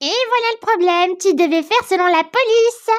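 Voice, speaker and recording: Putting on a squeaky, cartoonish character voice at an extremely high pitch, a woman talks fairly quickly with ordinary pitch variation and very even loudness. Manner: calm, explanatory.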